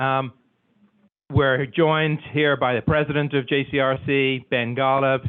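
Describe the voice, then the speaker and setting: A man with an Irish accent speaks at a medium pitch and a fairly slow pace. His intonation is flat and monotone, and his loudness stays very even. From Ireland. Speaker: community organization executive. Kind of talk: formal welcome speech.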